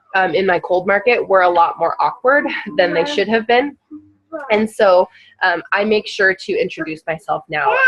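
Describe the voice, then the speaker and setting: A woman speaks at a medium pitch with lively intonation in an ordinary speaking voice. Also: moderate pace. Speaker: network marketing team leader. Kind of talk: team training call. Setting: group call. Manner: casual, many fillers (um).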